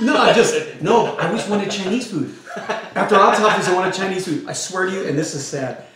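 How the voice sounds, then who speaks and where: A man with a Californian accent speaks at a high pitch and a fairly quick pace, with lively intonation and hardly any pauses, amid audible room echo and noticeable background noise. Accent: Californian American English. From Los Angeles, South Central. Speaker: comedian and pastor. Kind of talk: casual chat.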